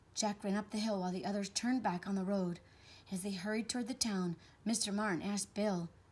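Fairly even intonation runs through the delivery. It is an unforced reading voice.

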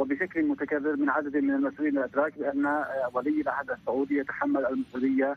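This man talks at a moderate pace with fairly even intonation. The sound is dry, with no echo. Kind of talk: interview answer. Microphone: phone line.

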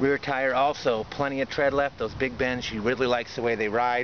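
Moderate pace from a man, light background noise, and a dry sound with no echo. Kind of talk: casual walkaround commentary. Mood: proud, friendly. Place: street. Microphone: phone near.

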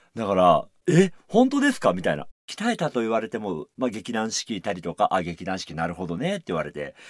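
Against a quiet background, a man speaks at a fairly quick pace in a dry sound with no echo. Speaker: musical actor and radio host; musical actor, radio host. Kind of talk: radio talk show. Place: studio.

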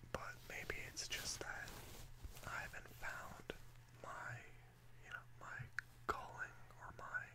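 The speaker whispers, keeping to a very slow pace. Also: man. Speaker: vlogger. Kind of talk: casual vlog chat. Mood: reflective, slightly low-key. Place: home room.

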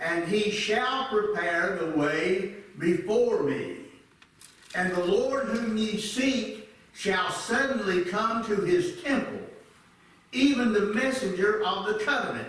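In strong room echo, a man with a high voice speaks at a very slow pace with ordinary pitch variation. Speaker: church elder preaching. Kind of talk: sermon. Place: church.

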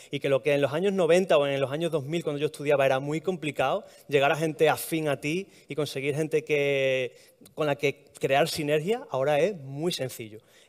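The intonation is fairly even and the pace moderate. The background is quiet. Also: man, fairly high pitch for a man. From Extremadura, Spain. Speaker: heritage blogger, art historian; heritage blogger. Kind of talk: talk to live audience. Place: hall.

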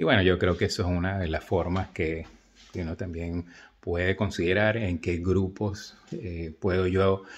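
A man's very deep, low voice, fairly slow and monotone. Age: 60s. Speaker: video blogger. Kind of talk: casual monologue to camera. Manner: halting, many fillers. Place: home room. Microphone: phone near.

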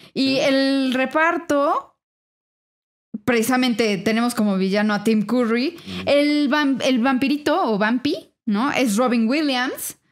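A woman with a Mexican accent, a high pitch with ordinary variation, and a fairly slow pace. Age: 30s. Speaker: returning podcast guest. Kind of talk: casual chat.

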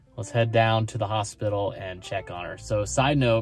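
Clear music plays in the background as a man speaks at a fairly low pitch, in a dry sound with no echo. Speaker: vlogger. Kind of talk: casual vlog chat. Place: car. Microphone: phone near.

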